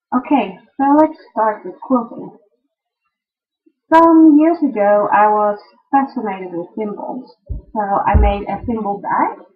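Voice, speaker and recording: A woman with a Dutch accent talks at a very slow pace with long, frequent pauses. Her pitch is fairly high, her intonation lively, and her loudness swings widely. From Netherlands. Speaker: quilting and knitting video blogger. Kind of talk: casual video podcast, tutorial-style show-and-tell. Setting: home sewing room.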